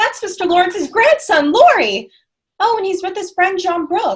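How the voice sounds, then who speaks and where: Squeaky and energetic, a woman performs a put-on character voice at an extremely high pitch and a moderate pace. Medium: stage play. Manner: energetic, exclamatory.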